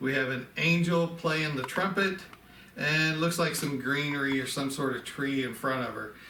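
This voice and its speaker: Amid noticeable background noise and audible room echo, a man speaks at a fairly high pitch and a moderate pace with ordinary pitch variation. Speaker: antique ornament collector. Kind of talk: casual show-and-tell video. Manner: conversational, with fillers.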